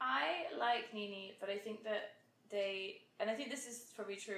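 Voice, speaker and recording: This woman has a plain, everyday voice, medium in pitch, with ordinary pitch variation. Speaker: podcast co-host. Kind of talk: casual chat between friends. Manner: talkative, rambling, humorous.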